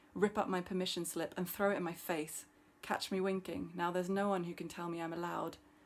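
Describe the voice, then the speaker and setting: Her pitch is fairly low for a woman. The recording is very clean, with a silent background. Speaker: poet and PhD student. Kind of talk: poetry reading. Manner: fast.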